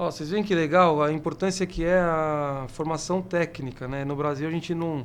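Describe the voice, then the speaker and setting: An unremarkable speaking voice at a moderate pace, with fairly even intonation and hardly any pauses. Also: man, fairly high pitch for a man. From São Paulo. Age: 30s. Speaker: city councillor and podcast host. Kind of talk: casual interview.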